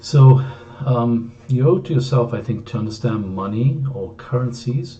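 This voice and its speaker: A man's somewhat breathy voice at a fairly slow pace, with audible room echo. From Greece. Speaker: author. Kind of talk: book introduction talk. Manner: hesitant, frequent fillers.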